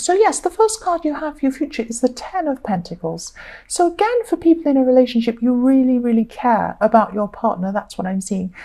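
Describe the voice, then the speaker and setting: A woman speaks at a high pitch with very wide pitch swings. Noticeable background noise runs behind her. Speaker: tarot reader. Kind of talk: tarot reading monologue. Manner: conversational, filler-heavy.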